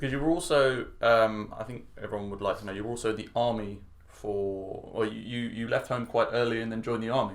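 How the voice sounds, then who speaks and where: A man with a British accent speaks at a fairly quick pace, with medium pitch and hardly any pauses. His intonation stays fairly even. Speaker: English teacher. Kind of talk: interview question.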